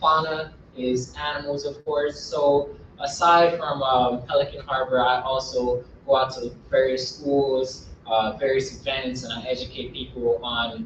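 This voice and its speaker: Speaking with an American accent, a man uses a fairly high pitch, ordinary pitch variation and a moderate pace. Audible room echo and noticeable background noise fill the recording. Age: 20s. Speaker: wildlife educator. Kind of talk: lecture.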